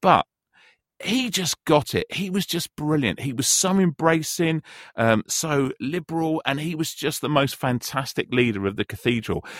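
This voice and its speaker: On a very clean recording with a silent background and a dry, close sound with no echo, a man speaks at a moderate pace with a fairly high pitch and lively intonation. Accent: London. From North London. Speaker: radio presenter, teacher and football coach. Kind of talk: casual chat.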